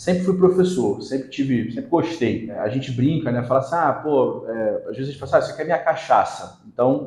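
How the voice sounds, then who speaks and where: Somewhat breathy and fairly high, a man's voice moves at a fairly quick pace with lively intonation and hardly any pauses. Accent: Rio de Janeiro. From Rio de Janeiro, Brazil. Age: 40s. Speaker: marketing specialist and teacher. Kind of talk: podcast interview.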